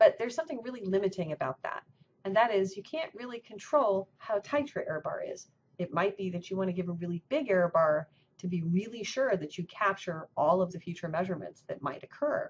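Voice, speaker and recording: A woman talks at a fairly quick pace in a somewhat breathy voice. There is light background noise. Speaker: university professor. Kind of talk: lecture. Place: office. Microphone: webcam.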